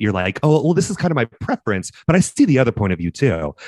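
A man's voice swings very widely in pitch. Vocal fry runs through it. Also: dry, close sound with no echo. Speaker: podcast host, dance educator and competition judge. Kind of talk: casual chat, podcast trailer. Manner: animated, enthusiastic.

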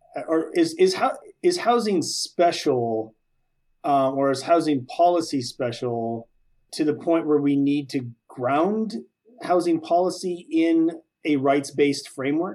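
A dark, mellow tone at a fairly slow pace. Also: man. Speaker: co-host. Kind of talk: casual interview chat.

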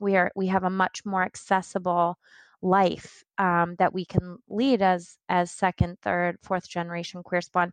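A woman talks at a moderate pace in a medium pitch. The recording is very clean with a silent background, and the sound is dry and close with no echo. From Central New York. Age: 30s. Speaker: diversity consultant. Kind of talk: podcast interview.

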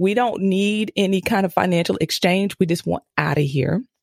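With an ordinary speaking voice, a woman talks at a medium pitch and moderate pace, with ordinary pitch variation and a dry, close sound with no echo. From US East Coast. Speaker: mom coach and podcast host. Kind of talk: interview conversation.

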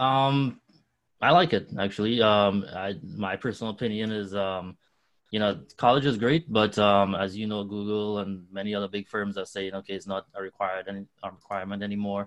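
A man in a Trinidadian accent at a moderate pace, fairly even intonation and a quiet background. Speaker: nonprofit co-founder. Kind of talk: interview.

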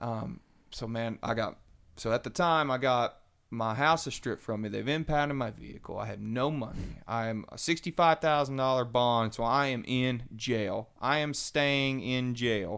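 On a very clean recording with a silent background, a man with a Kentucky accent speaks at a medium pitch and a moderate pace with ordinary pitch variation. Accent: US Southern (Kentucky). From Western Kentucky. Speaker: church member sharing testimony. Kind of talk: testimony.

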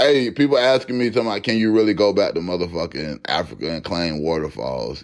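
A man's voice with very wide pitch swings, in a very clean recording with a silent background. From Florida. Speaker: podcast host. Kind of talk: casual monologue.

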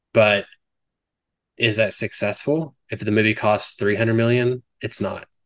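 With an ordinary speaking voice, a man talks at a fairly slow pace, medium in pitch and with fairly even intonation. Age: 30s. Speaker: podcast host. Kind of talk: casual chat.

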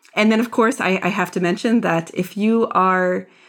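In a very clean recording with a silent background, a woman speaks at medium pitch in a Philadelphia accent. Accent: American (Philadelphia). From US, Philadelphia area. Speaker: DEI strategist and author. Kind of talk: interview conversation. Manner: hesitant, many repetitions and fillers.

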